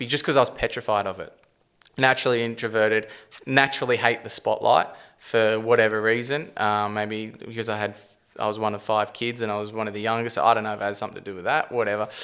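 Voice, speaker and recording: With an Australian accent, a man speaks at a very fast pace in a fairly low pitch. His tone is bright and sharp, and his intonation fairly even. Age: 20s. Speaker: property developer and company CEO. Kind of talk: podcast interview. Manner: stumbling, rambling; casual, swears often.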